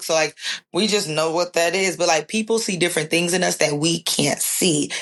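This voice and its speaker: With noticeable background noise behind her, a woman with a Southern accent speaks at a fairly quick pace in a very deep, low pitch with ordinary pitch variation. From US South, Nashville, Tennessee. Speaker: student journalist. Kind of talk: podcast interview. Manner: animated.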